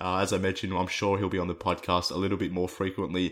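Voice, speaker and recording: A man with an Australian accent and a fairly low pitch speaks at a very fast pace. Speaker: sports podcast host. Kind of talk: casual chat. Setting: remote call.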